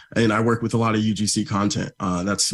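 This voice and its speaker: His pace runs fairly quick. The man talks with an American accent. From Florida. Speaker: media buyer. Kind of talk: livestream presentation. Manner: fast.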